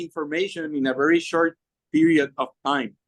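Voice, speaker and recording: A man speaks with lively intonation at a fairly high pitch. The sound is dry and close, with no echo. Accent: Spanish. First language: Spanish. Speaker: political party leader and candidate. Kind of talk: panel discussion.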